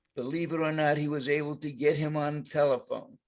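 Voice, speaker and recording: A man with a New York accent and a fairly high-pitched voice. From New York, the Bronx. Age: 90s. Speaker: war veteran. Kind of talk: reading aloud.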